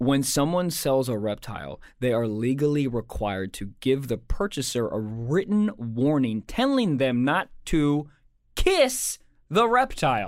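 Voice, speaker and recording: In a very clean recording with a silent background, a man with an American accent and a plain, everyday voice speaks at a fairly slow pace with medium pitch and lively intonation. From Maryland, US. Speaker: comedian and podcast co-host. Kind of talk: casual chat; reading aloud.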